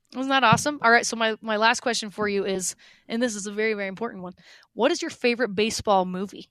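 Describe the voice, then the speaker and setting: A woman with an American accent talks at a very fast pace. Her pitch is fairly high. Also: ordinary pitch variation. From Utah. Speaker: radio host. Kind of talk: casual interview chat.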